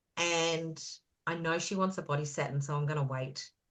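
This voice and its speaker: A woman speaks with an Australian accent at a moderate pace. Her tone is animated, and the background is quiet. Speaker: beauty business consultant, guest speaker. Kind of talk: online business presentation. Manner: loud.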